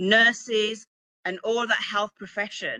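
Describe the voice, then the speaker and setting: With a British accent, a bright, sharp tone and an animated delivery, the voice moves at a fairly slow pace in a dry, close sound with no echo. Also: woman. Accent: UK. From Birmingham, England. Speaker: author and publishing coach. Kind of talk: motivational talk. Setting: virtual event with live chat.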